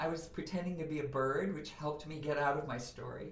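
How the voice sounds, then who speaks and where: The speaker talks at a fairly quick pace with lively intonation, over noticeable background noise and audible room echo. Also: woman. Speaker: voice coach and author. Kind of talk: podcast interview. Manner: animated.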